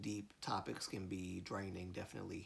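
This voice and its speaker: A man speaks with an American accent. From US South, Alabama. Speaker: live streamer. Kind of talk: casual live stream chat. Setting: live stream. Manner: stutters when mad; halting, many fillers.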